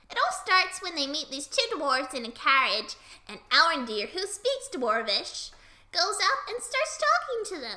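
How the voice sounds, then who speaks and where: A woman speaks at an extremely high pitch. Her voice moves in very wide pitch swings. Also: moderate pace. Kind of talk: comic anecdote retelling. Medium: read story. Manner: jokey.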